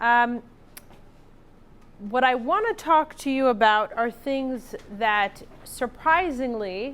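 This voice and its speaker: With ordinary pitch variation, a woman talks in a fairly high voice. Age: 40s. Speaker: estate planning attorney. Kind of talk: lecture. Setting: classroom with live audience. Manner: loud.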